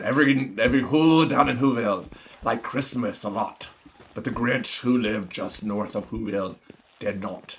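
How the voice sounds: A man puts on a character voice and keeps a moderate pace. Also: medium pitch for a man.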